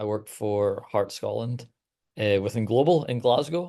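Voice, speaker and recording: With a Canadian accent, a man uses a normal speaking voice at a medium pitch and a fairly slow pace over a quiet background. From Canada. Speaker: radio producer. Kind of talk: webinar panel discussion.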